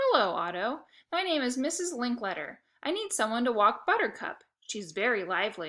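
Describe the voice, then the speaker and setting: A woman performs a put-on character voice at a high pitch, her pitch swinging very widely. She keeps a moderate pace on a very clean recording with a silent background. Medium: read story.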